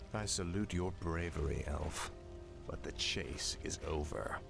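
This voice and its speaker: A man puts on a character voice with a very deep, low pitch, speaking at a fairly slow pace. Loud background noise runs underneath. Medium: machinima.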